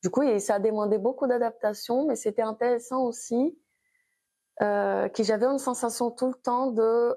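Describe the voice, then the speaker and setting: In a Brazilian accent, a woman with a high pitch and a dark, mellow tone speaks at a fairly slow pace with fairly even intonation over a quiet background. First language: Brazilian Portuguese (speaking French). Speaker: abstract painter. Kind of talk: interview. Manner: halting.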